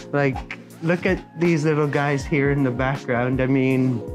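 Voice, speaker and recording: Clear music plays in the background as a man speaks at a fairly slow pace with fairly even intonation. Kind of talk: interview answer. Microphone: lapel.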